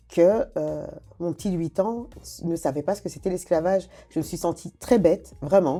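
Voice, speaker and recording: The tone is dark and mellow, with vocal fry and ordinary pitch variation. Loudness swings widely at a moderate pace. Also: woman, fairly low pitch for a woman. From Africa. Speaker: podcast host. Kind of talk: interview.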